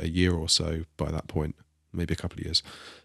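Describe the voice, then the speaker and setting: Very deep, low male voice with an English accent, monotone and flat, at a fairly quick pace, dry and close with no echo, on a very clean recording with a silent background. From England. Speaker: iOS developer, podcaster. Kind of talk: casual interview chat.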